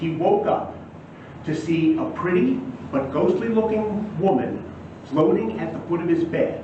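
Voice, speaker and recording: Speaking at a moderate pace with an American accent, this voice swings very widely in pitch over noticeable background noise. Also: man. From San Antonio, Texas. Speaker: magician and storyteller. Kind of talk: live storytelling performance.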